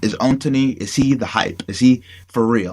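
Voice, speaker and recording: Noticeable background noise fills the recording. Through it, a man talks with an American accent. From Buffalo, New York, US. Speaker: sports podcast host. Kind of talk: casual interview.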